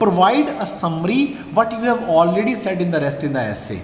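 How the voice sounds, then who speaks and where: A man talks at a fairly quick pace with lively intonation. Audible room echo and noticeable background noise surround him. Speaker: IELTS teacher. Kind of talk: tutorial. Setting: screen-share presentation. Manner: fast.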